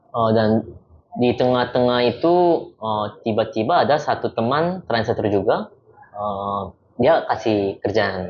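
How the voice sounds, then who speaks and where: A man talks at a fairly slow pace in a medium pitch. His pitch variation is ordinary. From South Korea, moved to Indonesia at about 15. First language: Korean (speaking Indonesian). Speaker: football team interpreter. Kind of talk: casual interview chat.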